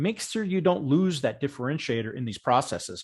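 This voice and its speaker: Over a quiet background, a somewhat breathy man talks fairly quickly in a fairly high pitch, his pitch swinging very widely. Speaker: software vendor presenter. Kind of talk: webinar presentation. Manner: fast; halting.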